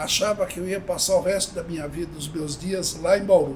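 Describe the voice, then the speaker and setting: A man's voice with a high pitch. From Brazil, Avaré (São Paulo state interior). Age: 70s. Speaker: company founder. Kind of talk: interview.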